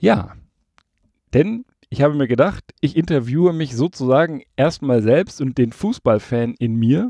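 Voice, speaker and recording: A man with a fairly high pitch and a dark, mellow tone speaks at a fairly slow pace with lively intonation. The sound is dry with no echo, and the background is quiet. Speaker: football podcast host; podcast host. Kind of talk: solo podcast monologue with personal anecdotes. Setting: converted van used as a mobile recording studio, parked outdoors. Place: studio.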